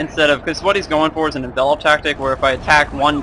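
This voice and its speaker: A fairly high-pitched man speaks at a very fast pace with monotone, flat intonation. Noticeable background noise runs underneath. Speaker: gaming video commentator. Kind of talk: gameplay commentary. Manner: halting.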